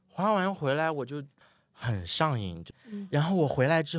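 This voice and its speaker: A man's voice with very wide pitch swings. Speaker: ski instructor. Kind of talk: casual interview chat. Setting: studio, in person.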